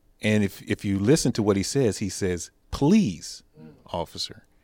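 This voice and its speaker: A man with an American accent uses an ordinary speaking voice, fairly low in pitch with ordinary variation, on a very clean recording with a silent background. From South Texas. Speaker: police officer. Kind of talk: round table discussion. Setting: church building.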